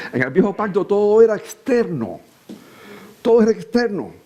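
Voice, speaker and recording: A man's voice against noticeable background noise. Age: 60s. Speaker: preacher. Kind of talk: sermon.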